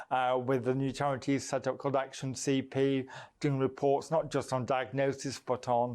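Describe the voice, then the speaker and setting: Against a quiet background, a man speaks at a moderate pace in a monotone, flat intonation. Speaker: member of parliament. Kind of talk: TV interview. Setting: studio. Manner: sometimes hard to understand, mistaken for slurred speech.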